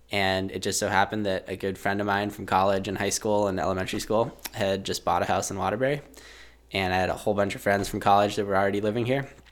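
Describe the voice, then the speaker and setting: Talking at a very fast pace, a man with an American accent keeps a fairly low pitch and fairly even intonation. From Massachusetts. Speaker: endurance skier. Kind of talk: interview. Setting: studio.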